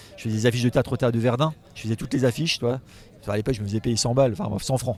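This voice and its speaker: Breathing somewhat audibly, a man talks at a very fast pace in a medium-pitched voice. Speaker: comic book illustrator. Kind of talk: casual interview. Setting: festival. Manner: animated.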